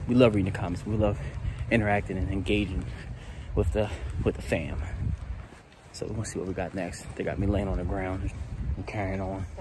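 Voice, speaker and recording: A man talks at a fairly quick pace in a very deep, low pitch with ordinary pitch variation. The sound is dry with no echo, though there is noticeable background noise. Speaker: family vlogger. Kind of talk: casual vlog chat. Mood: playful, joking. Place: open country. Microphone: phone near.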